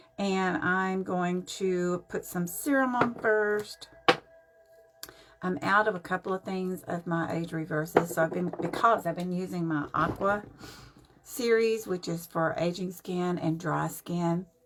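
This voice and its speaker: A woman speaks at a fairly low pitch with fairly even intonation, and noticeable background noise is present. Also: fairly slow pace. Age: 70s. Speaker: makeup vlogger. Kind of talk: live-stream makeup tutorial. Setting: live stream at home. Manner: casual, chatty.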